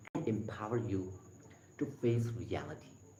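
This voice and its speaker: With audible room echo around him, a man speaks at a fairly slow pace and ordinary pitch variation. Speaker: motivational livestreamer. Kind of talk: livestream talk reading and commenting on a book. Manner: halting.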